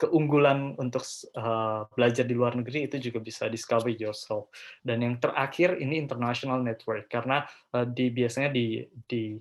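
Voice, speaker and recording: Talking at a fairly quick pace, a man keeps his medium pitch in fairly even intonation. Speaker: scholarship and study-abroad speaker, postgraduate student. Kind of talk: webinar presentation. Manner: hesitant, many filler sounds; code-switching Indonesian and English.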